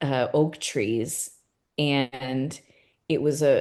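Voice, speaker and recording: Speaking in a Californian accent, a woman has a very deep, low pitch and a monotone, flat intonation. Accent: Californian American English. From California, US. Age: 40s. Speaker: art gallery owner. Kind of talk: casual interview conversation.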